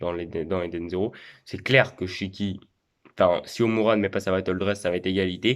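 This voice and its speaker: On a very clean recording with a silent background, the talking goes at a fairly quick pace. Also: man. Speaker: anime YouTuber. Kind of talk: casual monologue. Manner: hesitant, repetitive.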